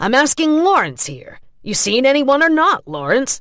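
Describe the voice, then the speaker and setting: Using a put-on character voice, a woman talks at a moderate pace with a high pitch and big swings in loudness. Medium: read story. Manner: irritated, bullying.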